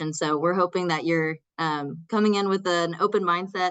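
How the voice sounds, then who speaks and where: Speaking in a strong Texas accent, a woman uses a fairly low pitch and fairly even intonation. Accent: thick Texas. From Texas, small town. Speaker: community college instructor. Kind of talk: workshop presentation.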